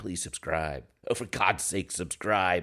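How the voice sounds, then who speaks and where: Putting on a whiny character voice, a man speaks at a fairly slow pace in a very deep, low pitch. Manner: begging, pleading.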